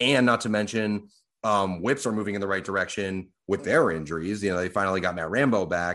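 An unremarkable speaking voice from a man with an American accent, fairly low in pitch with ordinary variation, at a fairly quick pace against a quiet background. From Boston, US. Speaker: sports betting podcast co-host. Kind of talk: casual chat. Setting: home studio.

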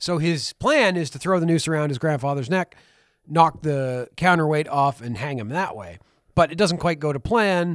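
This man has a normal speaking voice, fairly high pitch, ordinary pitch variation, and big swings in loudness, with a Canadian accent. He speaks at a moderate pace on a very clean recording with a silent background. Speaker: podcast co-host. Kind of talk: casual chat.

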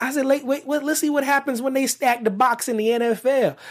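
A man with an American accent speaks at a fairly quick pace in an extremely high voice with an animated tone and ordinary pitch variation. The recording is very clean, the background silent. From Pennsylvania, US. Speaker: sports talk show host. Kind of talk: casual sports talk solo show.

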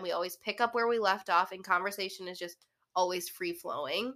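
A woman talks at a fairly quick pace with ordinary pitch variation. Her tone is bright and sharp. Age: 20s. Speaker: podcast host. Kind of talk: casual chat.

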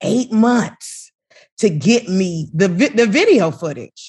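A woman speaks in an animated, warm tone, somewhat breathy, at a fairly slow pace with very wide pitch swings against a quiet background. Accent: American. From Chicago South Side, US. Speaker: radio host, MC and advocate. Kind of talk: casual interview chat. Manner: animated, warm, laughing.

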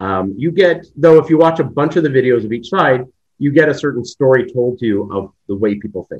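A plain, everyday voice from a man, medium in pitch, fairly quick, with lively intonation. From Canada. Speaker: video interviewer and content creator. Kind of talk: casual interview conversation.

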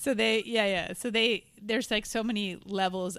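A woman with vocal fry speaks at a moderate pace on a very clean recording with a silent background. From Montreal, Canada. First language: Spanish. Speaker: comedian. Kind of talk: casual chat.

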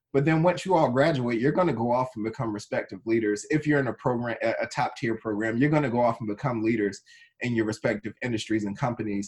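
Somewhat breathy, a man rattles along at a very fast pace with hardly any pauses, his medium pitch showing ordinary variation. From North Carolina (Wilson), born in Trenton, New Jersey. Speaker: tech executive. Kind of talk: interview.

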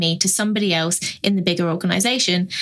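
Noticeable background noise accompanies a woman who talks fairly quickly, her pitch moving in an ordinary way. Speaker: podcast panelist. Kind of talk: casual panel chat about F1 news.

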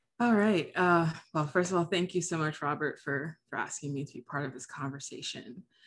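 A woman with a General American accent speaks in an unremarkable speaking voice, fairly low-pitched, at a fairly quick pace with ordinary pitch variation and big swings in loudness, on a very clean recording with a silent background. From US, Haitian American. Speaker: theology student and former pastor. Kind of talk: casual conversation.

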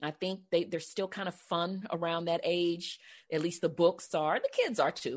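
Over a quiet background, a plain, everyday voice proceeds at a moderate pace. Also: woman, fairly low pitch for a woman, fairly even intonation. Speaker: podcast host and professional speaker. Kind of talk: interview, casual conversation.

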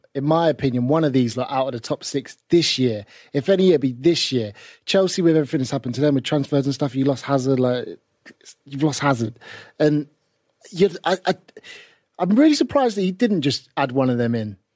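The pace is fairly quick, broken by long, frequent pauses, with ordinary pitch variation. The sound is dry and close, with no echo. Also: man, fairly high pitch for a man. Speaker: sports broadcaster. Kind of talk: casual chat.

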